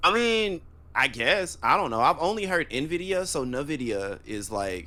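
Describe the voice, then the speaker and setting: In a very clean recording with a silent background, a loud man speaks at a fairly high pitch and fairly slow pace, with a bright, sharp tone and very wide pitch swings. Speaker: podcast co-host. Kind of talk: casual chat.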